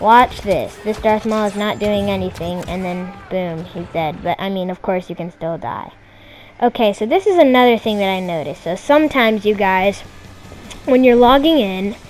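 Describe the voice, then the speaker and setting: The delivery moves at a moderate pace with lively intonation. Noticeable background noise runs underneath. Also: woman, medium pitch for a woman. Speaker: gaming YouTuber. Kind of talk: gameplay commentary. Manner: hesitant, many fillers. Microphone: bad audio quality.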